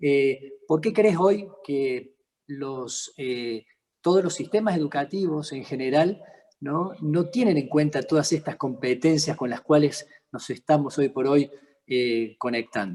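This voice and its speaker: Very slow in pace, a man with a Córdoba accent speaks in a dark, mellow tone with lively intonation. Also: fairly high pitch for a man. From Argentina, Córdoba. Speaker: interviewer, accountant and entrepreneur. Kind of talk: interview. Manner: halting.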